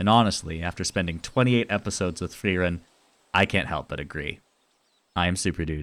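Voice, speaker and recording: Loud and fairly quick, a man speaks in a very clean recording with a silent background. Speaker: YouTube video essayist. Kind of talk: scripted video essay narration; casual outro to viewers.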